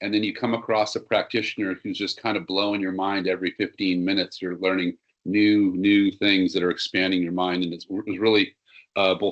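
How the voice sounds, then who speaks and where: A man's fairly low-pitched voice at a fairly quick pace, with fairly even intonation. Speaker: seminar presenter for health professionals. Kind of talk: webinar presentation. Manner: fast.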